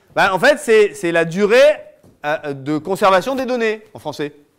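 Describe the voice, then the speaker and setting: His high-pitched voice swings very widely as this man speaks. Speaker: lawyer giving a talk. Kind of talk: lecture.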